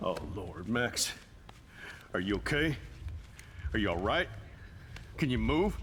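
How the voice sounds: A man speaks slowly in a put-on character voice, pitched fairly low with a fairly bright tone. His pitch swings widely up and down.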